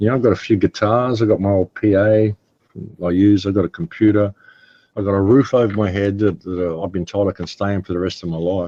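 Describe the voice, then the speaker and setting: At a very fast pace, a man with an Australian accent talks in a fairly low, dark, mellow tone, with a dry, close sound and no echo. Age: 60s. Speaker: interview guest, independent researcher. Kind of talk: casual interview talk. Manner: halting, repeats words.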